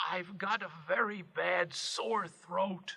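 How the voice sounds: A raspy, put-on character voice at a middle pitch. It moves at a very slow pace.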